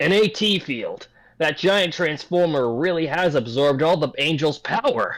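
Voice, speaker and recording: A put-on character voice from a man, pitched fairly high, delivered at a moderate pace. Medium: read story.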